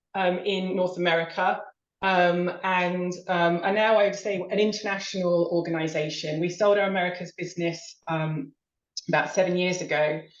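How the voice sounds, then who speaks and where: Heard with audible room echo, a woman speaks at a medium pitch with fairly even intonation. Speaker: marketing executive. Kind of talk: webinar presentation. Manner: hesitant, many fillers.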